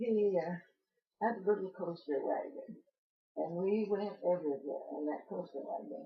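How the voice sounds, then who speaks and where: Somewhat breathy and at a medium pitch, a woman with an American accent talks at a moderate pace with lively intonation. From southern Illinois (Palestine, from age 3). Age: 80s+. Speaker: local elder interviewee. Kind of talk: oral history interview. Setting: in her home. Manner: halting, many hesitations.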